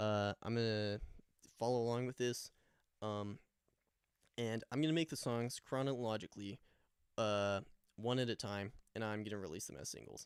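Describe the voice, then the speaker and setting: A man speaking at a moderate pace. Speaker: musician. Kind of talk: casual vlog talk. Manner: hesitant, many fillers.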